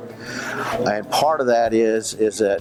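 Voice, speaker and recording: Music plays behind a man speaking in an American accent. His pitch is fairly low. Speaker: auctioneer. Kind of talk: interview answer.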